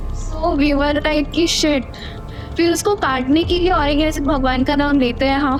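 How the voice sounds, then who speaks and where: Music plays in the background. A woman speaks in a high voice at a very even loudness. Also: fairly even intonation. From Odisha, India. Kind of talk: podcast guest telling real-life ghost stories.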